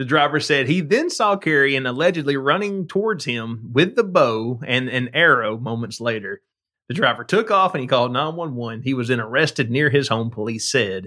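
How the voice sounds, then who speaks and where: A man with a Southern US accent, medium pitch, a bright, sharp tone and lively intonation at a moderate pace, in a very clean recording over a silent background. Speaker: podcast co-host. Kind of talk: casual chat. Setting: studio. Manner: laughs often.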